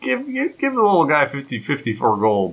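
A man puts on a character voice, fairly high in pitch with a slightly husky edge. He moves at a moderate pace with very wide pitch swings.

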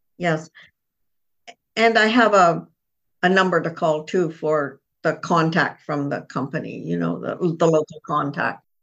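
A woman with a very deep, low pitch speaks at a fairly slow pace with vocal fry. Her speech has long, frequent pauses. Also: ordinary pitch variation. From Toronto area, Canada. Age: 70s. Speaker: pilgrim guest preparing for Camino walk. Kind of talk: casual interview chat.

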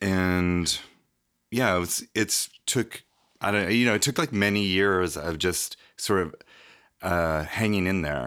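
A man with an American accent and a very deep, low pitch, at a very slow pace with long, frequent pauses, in a very clean recording with a silent background. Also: ordinary pitch variation. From Nevada, US. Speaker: artist and photographer. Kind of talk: interview. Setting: studio. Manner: halting.

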